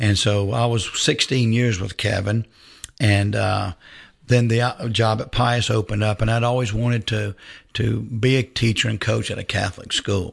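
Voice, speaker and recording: A man's somewhat breathy, fairly low voice moves at a moderate pace with fairly even intonation. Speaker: high school football coach. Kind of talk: radio interview.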